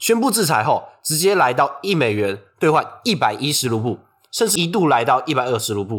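Recorded very cleanly against a silent background, a man talks at a moderate pace with very wide pitch swings. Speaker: podcast co-host. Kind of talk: scripted discussion of news. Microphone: non-studio recording, sharper thinner sound.

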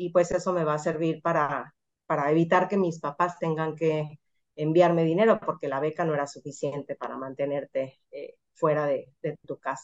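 A woman speaks in a very deep, low pitch at a moderate pace. Her intonation is fairly even. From Mexico, Mazatlán, Sinaloa. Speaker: computer science professor and researcher. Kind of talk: interview.

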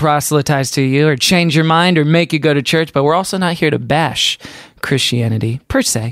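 A man with a plain, everyday voice speaks at a moderate pace, fairly high in pitch with ordinary pitch variation. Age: 20s. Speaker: podcast co-host. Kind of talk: scripted narration; casual chat.

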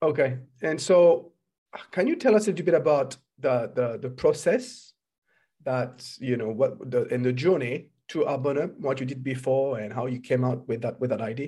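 A man with a French accent speaks in a somewhat breathy, dark, mellow tone at a medium pitch with ordinary pitch variation. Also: moderate pace. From France. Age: 40s. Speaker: podcast host and entrepreneurship coach. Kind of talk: interview.

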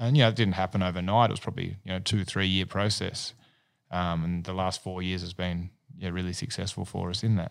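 Over a silent background in a very clean recording, a man with a very deep, low pitch talks at a fairly quick pace with fairly even intonation. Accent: Australian. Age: 40s. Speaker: business owner. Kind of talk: casual chat.

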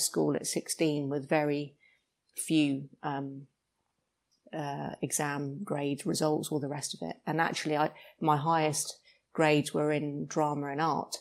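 In a very clean recording with a silent background, a woman speaks at a moderate pace with a very deep, low pitch and monotone, flat intonation. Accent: British. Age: 50s. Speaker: actor, former police officer. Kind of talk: casual interview.

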